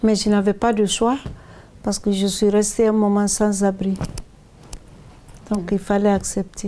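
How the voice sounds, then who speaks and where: A woman's medium-pitched voice, dark and mellow in tone, at a fairly slow pace with long, frequent pauses, very even loudness and monotone, flat intonation. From Guinea. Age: 70s. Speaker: association president. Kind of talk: testimony.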